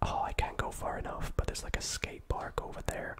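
A man is whispering. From Scotland. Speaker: ASMR gaming video creator. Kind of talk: soft-spoken gameplay commentary. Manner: soft-spoken, ASMR style; casual, chatty commentary. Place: home room. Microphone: studio mic.

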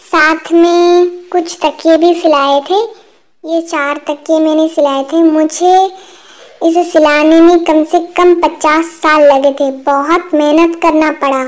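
A woman speaks very slowly at an extremely high pitch. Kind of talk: comic overacting. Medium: fan dub. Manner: boastful, self-praising, exaggerating.

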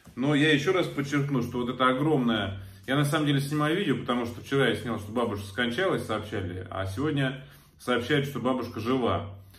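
Speaking at a fairly quick pace, a man with a medium pitch and fairly bright tone shows ordinary pitch variation.

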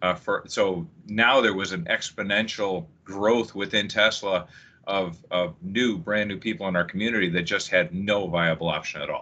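A normal speaking voice from a man, fairly low in pitch, with ordinary pitch variation and a moderate pace. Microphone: video call.

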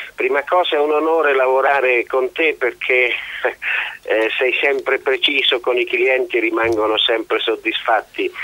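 There is noticeable background noise in this clip. A man speaks at a fairly slow pace. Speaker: country house owner. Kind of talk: radio interview. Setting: phone call.

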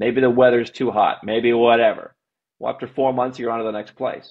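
Speaking fairly quickly over a quiet background, a man uses an ordinary speaking voice at medium pitch. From United States. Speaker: global citizenship and tax consultant, company CEO; podcast guest. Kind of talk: casual interview. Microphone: earbuds.

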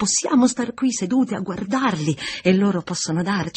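The clip features an unforced reading voice.

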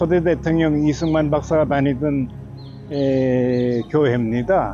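Clear music plays in the background as a man speaks at a very slow pace with fairly even intonation. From South Korea. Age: 80s+. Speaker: former news anchor and journalist. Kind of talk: on-location introduction to camera. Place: church. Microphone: podium.

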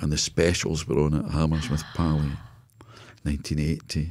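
Against a quiet background, a man with a Scottish accent speaks in a dark, mellow tone at very deep, low pitch. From Scotland. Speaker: business consultant. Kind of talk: casual interview. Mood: reflective storytelling. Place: studio. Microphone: studio mic.

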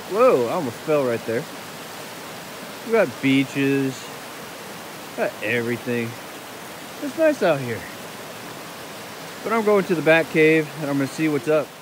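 With lively intonation and a moderate pace, a man speaks in long, frequent pauses over noticeable background noise, the sound dry with no echo. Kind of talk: casual vlog chat. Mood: cheerful, mildly annoyed at graffiti. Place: waterside. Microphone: phone near.

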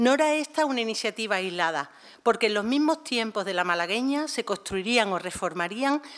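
An ordinary speaking voice: a woman with a fairly high pitch and lively intonation talks at a moderate pace against a quiet background. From Málaga, Andalusia; Andalusia. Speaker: museum director; panelist introducing a lecture. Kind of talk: prepared formal speech. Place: hall. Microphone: podium.

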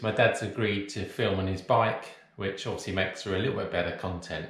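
A man's voice with audible room echo. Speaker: running vlogger. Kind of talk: casual vlog chat.

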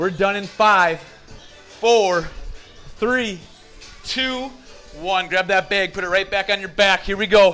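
Faint music plays in the background as a man in a raised, projected voice speaks at a fairly slow pace with fairly even intonation. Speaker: fitness instructor. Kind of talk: workout instruction. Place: empty room.

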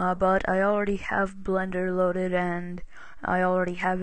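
Quiet and monotone, a woman speaks at a moderate pace with flat intonation at a medium pitch. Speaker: software tutorial maker. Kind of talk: screen-recorded software tutorial. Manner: casual, hesitant with fillers.

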